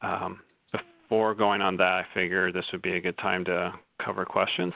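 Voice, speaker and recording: A man's very deep, low voice moves at a moderate pace with monotone, flat intonation. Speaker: archivist presenting on programming. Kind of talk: webinar presentation. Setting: online webinar.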